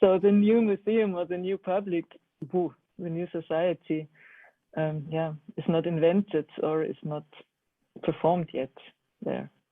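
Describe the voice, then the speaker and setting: The speaker uses a German accent at a fairly slow pace, with long, frequent pauses. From Germany. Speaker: art educator. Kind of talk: online seminar discussion. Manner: halting.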